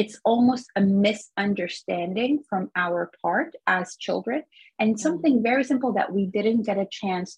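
A somewhat breathy woman with an American accent, medium in pitch, talking at a very slow pace with lively intonation, in a dry, close sound with no echo. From Egyptian American, lived in several countries. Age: 30s. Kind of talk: interview.

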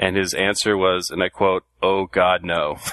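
A man with a Californian accent. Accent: Californian American. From Southern California. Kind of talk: casual panel chat, personal story.

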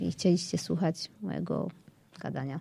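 This woman's somewhat breathy voice has a dark, mellow tone and very wide pitch swings. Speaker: blogger and writer. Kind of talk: casual chat.

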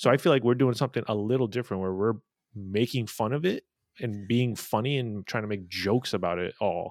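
Speaking at a fairly quick pace with ordinary pitch variation, a man with an American accent has an unremarkable speaking voice at a medium pitch, captured in a very clean recording with a silent background and a dry, close sound with no echo. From Southern California, LA. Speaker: comedy streamer. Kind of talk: casual chat.

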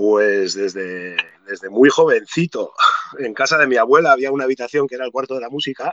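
A man with a plain, everyday voice talks at a fairly quick pace and medium pitch, with ordinary pitch variation. His loudness swings a lot, in a dry, close sound with no echo. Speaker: musician and skater. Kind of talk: casual interview chat.

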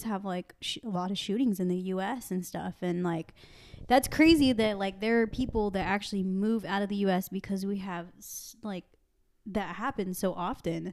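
This woman has a plain, everyday voice at medium pitch. She keeps a fairly even intonation and a moderate pace. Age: 20s. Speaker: podcast host. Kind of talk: casual chat.

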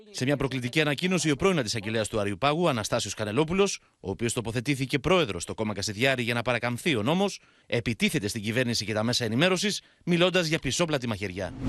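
A man's medium-pitched voice at a very fast pace, with very wide pitch swings, against a quiet background. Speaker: news reporter. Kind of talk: news report.

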